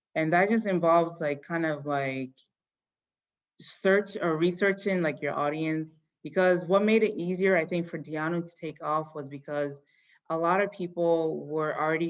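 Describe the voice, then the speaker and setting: With a Yoruba accent, a woman speaks at a fairly low pitch and a moderate pace. Her intonation is fairly even, and the background is quiet. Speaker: fashion company founder. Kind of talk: interview answering children's questions. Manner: casual, many fillers.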